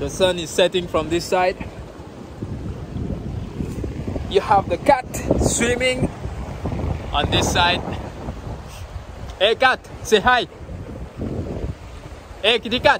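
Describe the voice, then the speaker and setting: A man with a high pitch and ordinary pitch variation speaks at a very slow pace with long, frequent pauses, in a dry sound with no echo amid noticeable background noise. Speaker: travel vlogger. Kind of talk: casual vlog chat. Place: beach. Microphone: phone near.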